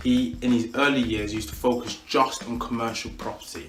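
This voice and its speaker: A man's medium-pitched voice with a British accent at a moderate pace, amid audible room echo and noticeable background noise. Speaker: property investor and coach. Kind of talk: educational talk to camera. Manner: animated.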